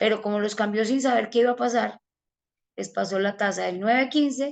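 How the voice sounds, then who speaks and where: Fairly high for a woman, this ordinary speaking voice moves at a moderate pace with fairly even intonation. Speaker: financial advisor giving a talk. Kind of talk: online presentation/webinar.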